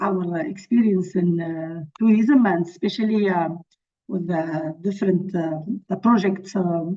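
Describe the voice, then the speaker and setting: Someone with a non-native accent talks at a fairly slow pace with ordinary pitch variation. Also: woman. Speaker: NGO representative presenting conservation project. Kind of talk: webinar presentation. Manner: halting, many fillers.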